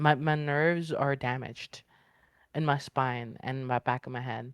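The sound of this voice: A woman speaks at a fairly slow pace, the sound dry and close with no echo.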